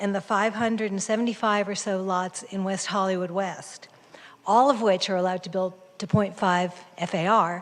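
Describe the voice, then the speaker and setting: This is a plain, everyday voice from a woman at medium pitch. The pitch varies in an ordinary way. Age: 60s. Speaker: public commenter, homeowner. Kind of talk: public comment at a council meeting. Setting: city planning commission meeting.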